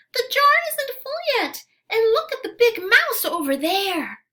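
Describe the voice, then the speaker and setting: Using a put-on character voice, a woman squeaks at an extremely high pitch and a fairly slow pace. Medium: read story.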